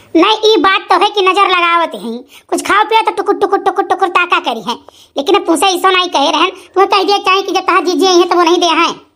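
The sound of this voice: A woman speaks at a very fast pace in a cartoonish character voice. Her pitch is extremely high. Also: ordinary pitch variation.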